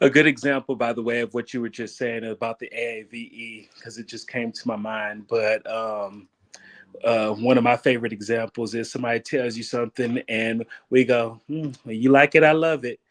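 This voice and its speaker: A man with a plain, everyday voice speaks at a medium pitch and a moderate pace, with fairly even intonation. His loudness swings widely, and the sound is dry and close with no echo. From Texas. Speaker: livestream guest. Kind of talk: casual chat. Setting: livestream.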